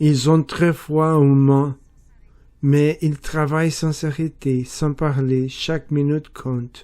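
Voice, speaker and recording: A dark, mellow voice in a Portuguese accent, very slow and monotone, with flat intonation. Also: man, fairly high pitch for a man. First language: Portuguese (speaking French). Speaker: French learner. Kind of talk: reading aloud. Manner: careful, deliberate pronunciation.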